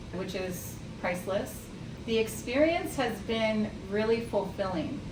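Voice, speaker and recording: Noticeable noise fills the background. The speaker keeps a moderate pace. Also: woman. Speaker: hypnotherapist, graduate of the training. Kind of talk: interview answer.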